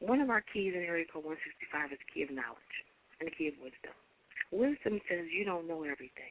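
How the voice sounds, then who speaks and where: A woman's fairly low voice at a very fast pace with lively intonation. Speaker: internet radio host. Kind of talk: inspirational radio talk. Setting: online radio show.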